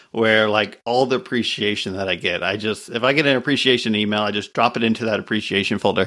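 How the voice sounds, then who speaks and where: A man with a medium pitch speaks very fast in a bright, sharp tone, keeping his intonation fairly even. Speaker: podcast host. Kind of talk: casual interview chat.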